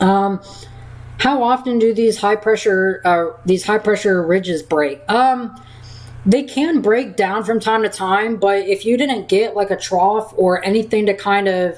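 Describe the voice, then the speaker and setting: A woman talks at a medium pitch and a fairly slow pace, with ordinary pitch variation, very even loudness and noticeable background noise. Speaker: weather livestreamer. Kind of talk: live Q&A stream. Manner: halting. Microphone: mic cutting out at times.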